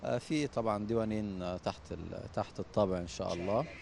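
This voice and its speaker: A man with a fairly low pitch talks at a moderate pace, his pitch variation ordinary. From Upper Egypt, Sohag. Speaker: poet. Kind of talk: interview. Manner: halting, many fillers.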